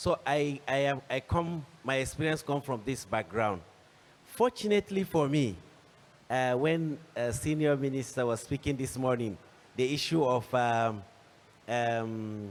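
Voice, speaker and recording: At a fairly slow pace, a man with a Nigerian accent talks at medium pitch with lively intonation. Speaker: panelist, agricultural entrepreneur. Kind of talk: panel discussion. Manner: halting, many fillers and restarts.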